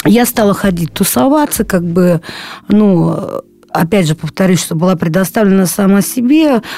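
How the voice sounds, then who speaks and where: Here a woman is speaking at a moderate pace. Her pitch is medium. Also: lively intonation. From Saint Petersburg, Russia (moved from Krasnoyarsk at 13). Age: 20s. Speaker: recovering drug addict. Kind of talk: testimony. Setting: studio. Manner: halting, many fillers.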